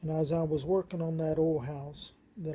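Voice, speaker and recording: A woman with an American accent speaks at a very deep, low pitch. Her tone is dark and mellow, and somewhat breathy. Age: 60s. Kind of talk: personal testimony monologue.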